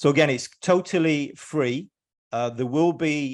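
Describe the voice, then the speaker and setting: With an English accent, a man speaks with ordinary pitch variation over a quiet background. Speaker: EMF educator and presenter. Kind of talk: webinar presentation. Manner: hesitant, many filler words.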